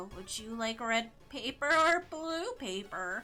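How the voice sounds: Faint music plays in the background as a woman uses a put-on character voice with a fairly high pitch. Her pitch swings very widely, and her pace is fairly slow.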